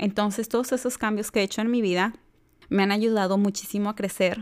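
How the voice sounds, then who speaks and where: A woman's medium-pitched voice at a moderate pace, very cleanly recorded against a silent background. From Mexico, Jalisco. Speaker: podcast host. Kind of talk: personal monologue.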